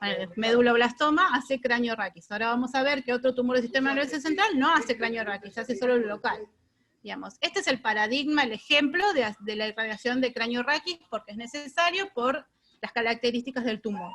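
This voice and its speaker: Her intonation lively, a woman speaks at a high pitch. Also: fairly quick pace. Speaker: radiation oncologist lecturer. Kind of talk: lecture. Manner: fast.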